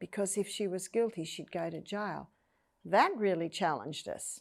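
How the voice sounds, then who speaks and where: A woman talks at a moderate pace with an Australian accent. The recording is very clean and the background silent. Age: 60s. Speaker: health educator. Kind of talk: interview testimony.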